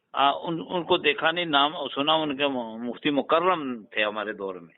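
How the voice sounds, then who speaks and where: This man has an ordinary speaking voice, pitched fairly high. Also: lively intonation. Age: 60s. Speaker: Islamic scholar, caller. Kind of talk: casual chat.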